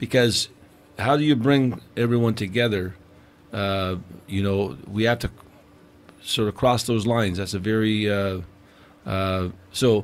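A man with a Newfoundland accent at a fairly low pitch and fairly slow pace, with ordinary pitch variation and long, frequent pauses. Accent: Newfoundland Canadian English. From Newfoundland, Canada. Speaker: podcast guest. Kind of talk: casual chat. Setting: studio.

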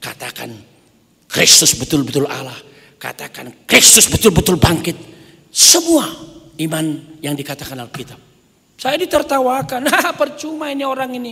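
A man's extremely high voice with very wide pitch swings and long, frequent pauses over a quiet background. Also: moderate pace, big swings in loudness. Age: 60s. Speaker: pastor. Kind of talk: sermon. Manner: animated. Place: church. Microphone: podium.

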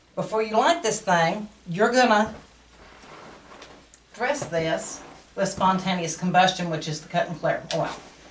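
A woman with a Texan accent speaks at a medium pitch with ordinary pitch variation, going fairly slowly with long, frequent pauses, over light background noise and audible room echo. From Texas. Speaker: workshop speaker and candle seller. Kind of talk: talk to a small audience. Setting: live talk to small audience. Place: shop. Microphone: camera far.

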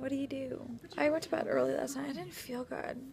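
Music sounds clearly in the background. Over it, a woman talks at a moderate pace. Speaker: mother vlogger. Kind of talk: casual vlog chat. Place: home room. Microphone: phone near.

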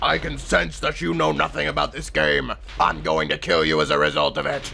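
Over clear background noise, a man puts on a character voice with a very deep, low pitch and talks at a fairly quick pace. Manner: menacing, stilted.

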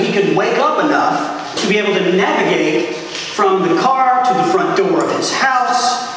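A man is speaking over light background noise. Strong room echo surrounds his voice. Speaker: priest. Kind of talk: sermon. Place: church. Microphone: camera far.

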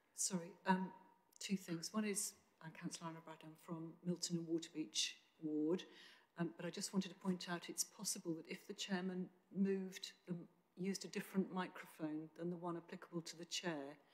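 A woman with an ordinary speaking voice, fairly low in pitch, speaks at a fairly quick pace with fairly even intonation. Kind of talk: meeting remarks. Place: meeting room. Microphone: podium.

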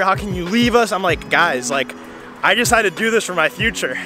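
Clear music plays behind a man who talks at a fairly quick pace in a dry sound with no echo. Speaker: student vlogger. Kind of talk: casual vlog chat. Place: street. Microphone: phone near.

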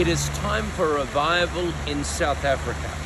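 Loud background noise surrounds a man whose sound is dry, with no echo. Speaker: preacher. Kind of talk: sermon, preacher in full flow declaring revival. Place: garden. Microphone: phone near.

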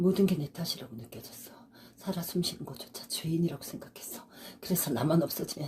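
At a fairly quick pace, a woman with a fairly low pitch and lively intonation speaks in an unremarkable speaking voice. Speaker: senior actress. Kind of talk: dramatic monologue, audition reel. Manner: earnest, emotional, consoling.

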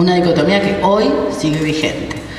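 A woman speaks at a moderate pace with ordinary pitch variation. There is light background noise and audible room echo. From Argentina, Buenos Aires area. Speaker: university rector. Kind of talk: conference talk. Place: hall. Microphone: handheld.

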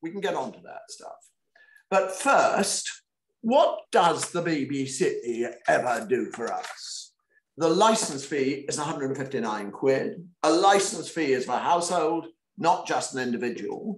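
A man speaks at a very slow pace with very wide pitch swings and big swings in loudness. The room echo is audible. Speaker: author. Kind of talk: online panel talk. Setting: video call. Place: home room. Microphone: webcam.

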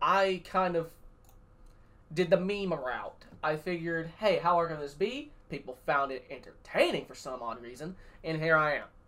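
A moderate pace carries this speech. It comes with a Southern US accent. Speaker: sim racing streamer and race broadcaster. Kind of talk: tutorial. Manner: sarcastic.

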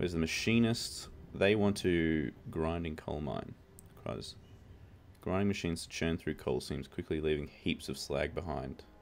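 A man's very deep, low voice at a moderate pace, with ordinary pitch variation. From Australia. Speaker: gaming YouTuber. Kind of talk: gameplay commentary.

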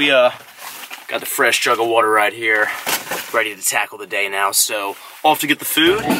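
At a moderate pace, the voice has lively intonation and a bright, sharp tone. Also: man.

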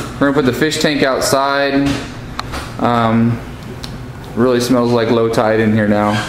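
Over noticeable background noise and audible room echo, a man speaks at a moderate pace with fairly even intonation. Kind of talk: walkthrough commentary. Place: home room. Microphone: phone near.

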